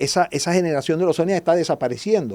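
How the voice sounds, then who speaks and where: Here a man speaks with a dark, mellow tone. The recording is very clean, the background silent. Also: dry, close sound with no echo. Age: 60s. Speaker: guest speaker on history. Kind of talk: podcast interview.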